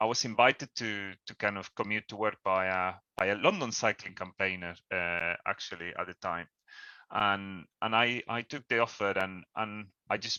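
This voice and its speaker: The man's voice sits at a fairly low pitch with fairly even intonation. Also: moderate pace. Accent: Spanish. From Spain. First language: Spanish. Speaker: cycling campaign leader. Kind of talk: presentation on a video call. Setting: video call. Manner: halting, many repetitions.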